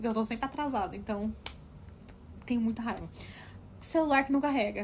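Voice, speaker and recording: Her pitch high and its variation ordinary, a woman is speaking. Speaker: podcast co-host. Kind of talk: casual chat. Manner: fast.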